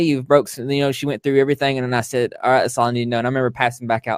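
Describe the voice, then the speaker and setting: The man speaks at a medium pitch in a dry, close sound with no echo. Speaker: content creator interviewed about recovery. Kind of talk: interview. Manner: halting.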